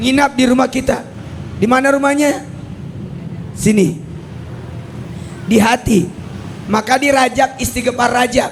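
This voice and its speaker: A man speaks at an extremely high pitch and fairly slow pace, with ordinary pitch variation and very even loudness. Long, frequent pauses and noticeable background noise fill the clip. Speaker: Islamic preacher. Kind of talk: religious lecture. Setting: venue by the roadside with live audience.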